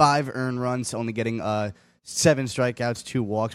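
A man speaks with an American accent at a medium pitch. The recording is very clean, with a silent background. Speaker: sports news update anchor. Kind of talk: news update.

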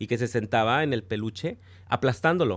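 On a very clean recording with a silent background, a man talks fairly quickly. His pitch swings very widely. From Mexico. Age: 30s. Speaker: podcast guest. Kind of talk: casual chat.

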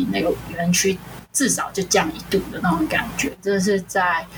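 A moderate pace over noticeable background noise. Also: woman. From Kaohsiung, southern Taiwan. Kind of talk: casual chat. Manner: laughs often.

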